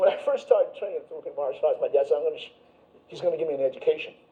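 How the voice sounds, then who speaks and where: Speaking at a very fast pace, a man with an American accent uses an extremely high pitch and monotone, flat intonation. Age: 70s. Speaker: martial arts instructor. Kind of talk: lecture demonstration. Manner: halting.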